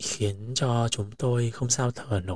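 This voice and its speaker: Calm and somewhat breathy, a man speaks at a very slow pace with a medium pitch. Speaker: podcast host. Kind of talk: reflective monologue.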